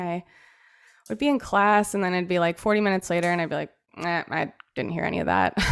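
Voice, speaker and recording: A woman's fairly even intonation on a very clean recording with a silent background. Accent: West Coast. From Central Oregon. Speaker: accountant. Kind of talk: casual interview.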